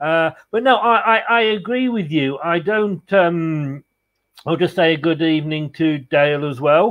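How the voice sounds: Speaking at a fairly slow pace, a man uses a fairly bright tone and a fairly high pitch with ordinary pitch variation.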